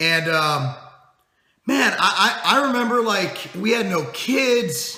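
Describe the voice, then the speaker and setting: A man shouting in a raised, projected voice at a high pitch, with audible room echo. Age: 30s. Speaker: fitness company owner and video host. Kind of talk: casual vlog monologue. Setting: office, speaking to camera. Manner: loud, shouting; halting, many repeated words.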